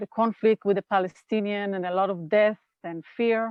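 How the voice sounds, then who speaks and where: A woman with an Israeli accent speaks at a fairly slow pace. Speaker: nonviolent communication trainer. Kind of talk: interview conversation.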